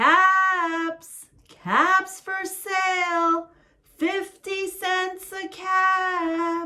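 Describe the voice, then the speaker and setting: Putting on a character voice, a woman squeaks at an extremely high pitch, speaking very slowly in a monotone, flat intonation. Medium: read story. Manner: emphatic, scolding.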